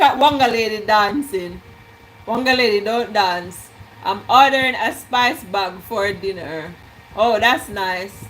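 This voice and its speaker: Using lively intonation and an animated tone, a woman with a Jamaican accent speaks at a fairly slow pace and fairly high pitch over noticeable background noise. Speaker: cooking vlogger. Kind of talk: live stream cooking chat.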